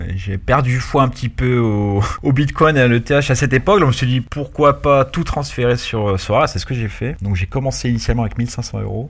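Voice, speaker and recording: A man at a fairly quick pace, with ordinary pitch variation, over noticeable background noise. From Paris, France. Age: 30s. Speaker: fantasy football manager. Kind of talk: casual chat.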